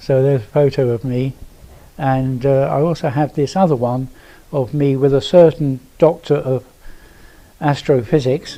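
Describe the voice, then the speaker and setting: A dark, mellow tone at a moderate pace, with fairly even intonation and long, frequent pauses. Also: man, fairly high pitch for a man. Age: 70s. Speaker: astronomy speaker. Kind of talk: lecture.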